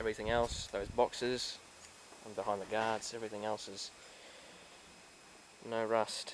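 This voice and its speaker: Long, frequent pauses break up a man's moderate-paced speech, delivered at a medium pitch with monotone, flat intonation. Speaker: car enthusiast, restorer. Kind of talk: casual talk to camera.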